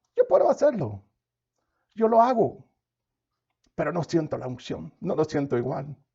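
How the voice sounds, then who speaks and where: A man's dark, mellow voice at a moderate pace, with very wide pitch swings. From United States. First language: English (speaking Spanish). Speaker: pastor. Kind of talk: sermon. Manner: animated.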